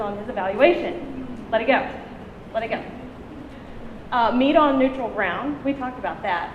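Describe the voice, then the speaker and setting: A high-pitched woman speaks with lively intonation and long, frequent pauses, amid noticeable background noise and audible room echo. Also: big swings in loudness. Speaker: conference presenter. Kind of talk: conference talk. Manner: loud.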